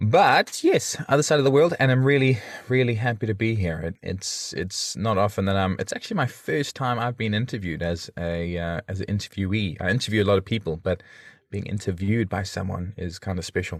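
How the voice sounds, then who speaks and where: Speaking fairly quickly with lively intonation, a man with a South African accent has a fairly low voice on a very clean recording with a silent background. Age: 30s. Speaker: podcaster and father. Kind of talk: interview.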